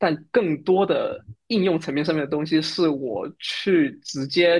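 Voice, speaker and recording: In a very clean recording with a silent background, a man with a southern Chinese accent talks very slowly in a fairly high pitch. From Fujian, southern China. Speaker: Android developer and podcaster. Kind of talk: casual interview chat.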